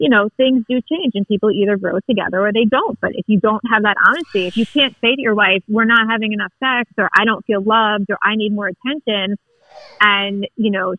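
A woman speaks in a plain, everyday voice with an American accent. Her voice is fairly high, at a fairly quick pace, with ordinary pitch variation. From Long Island, New York. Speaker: listener. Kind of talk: casual chat. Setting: phone call.

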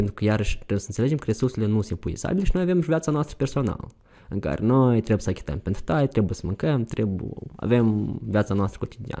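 A man talks at a very fast pace in a fairly low pitch with a dark, mellow tone. His pitch swings very widely. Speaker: youth volunteer. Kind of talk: interview. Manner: halting.

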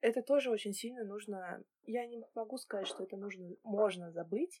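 A woman talks at a moderate pace with a medium pitch and ordinary pitch variation, in an ordinary speaking voice. The sound is dry and close with no echo. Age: 20s. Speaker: podcast co-host. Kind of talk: casual chat.

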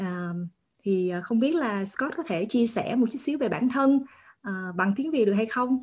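Somewhat breathy and with lively intonation, a woman speaks at a moderate pace against a quiet background. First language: Vietnamese. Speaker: podcast host. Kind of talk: interview. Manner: halting.

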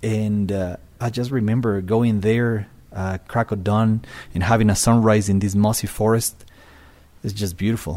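A man with a Spanish accent speaks in a fairly low, dark, mellow voice with fairly even intonation, in a very clean recording with a silent background. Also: moderate pace. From Ecuador, Quito. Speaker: bird tour guide. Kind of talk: casual chat.

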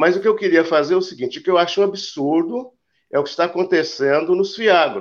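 A man speaks at a high pitch with ordinary pitch variation. His pace is fairly quick. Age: 70s. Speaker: retired real estate investor, viewer. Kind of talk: live call-in chat.

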